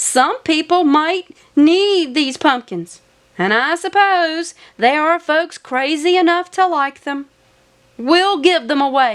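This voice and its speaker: In a put-on character voice, a woman speaks at an extremely high pitch with lively intonation and a fairly slow pace, in a very clean recording with a silent background. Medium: read story. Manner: stubborn, emphatic.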